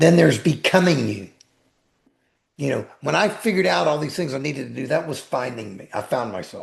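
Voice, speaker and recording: A man talks fairly quickly at a fairly high pitch, with vocal fry. His pitch swings very widely and his loudness shifts a lot. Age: 60s. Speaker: attorney and life coach. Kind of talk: podcast interview. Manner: animated.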